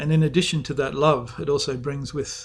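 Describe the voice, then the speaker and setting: With an Australian accent, a man speaks at a moderate pace, his fairly high voice keeping fairly even intonation. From Western Australia. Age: 60s. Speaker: author. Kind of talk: author's talk about his book.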